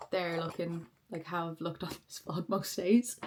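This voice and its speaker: A woman speaks over noticeable background noise. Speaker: vlogger. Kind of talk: casual vlog talk to camera.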